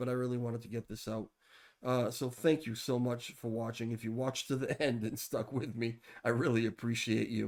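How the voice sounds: Using a put-on character voice, a man talks at a fairly quick pace and medium pitch in a raspy, monotone, flat delivery.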